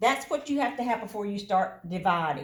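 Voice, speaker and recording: A woman's somewhat breathy, fairly high voice with lively intonation and audible room echo. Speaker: math teacher. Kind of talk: recorded lesson for students.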